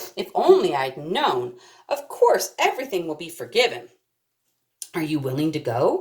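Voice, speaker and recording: Using a put-on character voice, a woman at a fairly low pitch speaks at a moderate pace with big swings in loudness and long, frequent pauses. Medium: read story.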